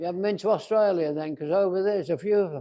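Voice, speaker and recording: Pitched high for a man, his dark, mellow voice shows ordinary pitch variation. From Wales. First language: Welsh. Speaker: Toastmasters speaker. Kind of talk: speech.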